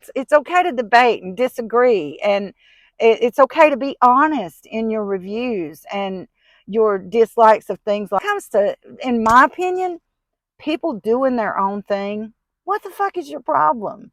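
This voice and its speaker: In a strong Southern US accent, a fairly high-pitched woman talks at a moderate pace with very wide pitch swings and big swings in loudness, in a very clean, dry, close recording with a silent background and no echo. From US South. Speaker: vlogger. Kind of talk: casual vlog monologue. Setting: in a car.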